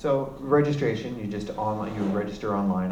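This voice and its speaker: Audible room echo around a man's fairly low-pitched voice, its pitch varying in an ordinary way. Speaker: music royalties representative. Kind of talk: presentation to an audience. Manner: fast; halting, many fillers.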